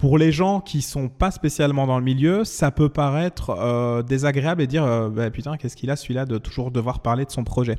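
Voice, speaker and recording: This man has a dark, mellow tone at a medium pitch with ordinary pitch variation. He talks at a moderate pace with hardly any pauses on a very clean recording with a silent background. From Belgium, Wallonia (Liège area). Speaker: singer. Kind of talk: interview. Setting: in person with host.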